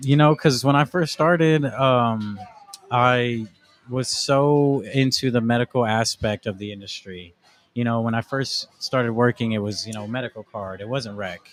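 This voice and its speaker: This is a plain, everyday voice with an American accent, moving at a moderate pace with ordinary pitch variation. The sound is dry and close, with no echo. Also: man, medium pitch for a man. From Arizona, Casa Grande. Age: 20s. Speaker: cannabis brand sales rep. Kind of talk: podcast interview. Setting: in-person in a lounge.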